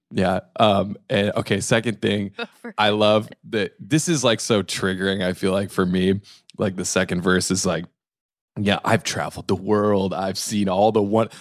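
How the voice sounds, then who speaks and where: A man talks at a moderate pace in a plain, everyday voice with a fairly low pitch. The recording is very clean, with a silent background. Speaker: podcast host and guest. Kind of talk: casual chat.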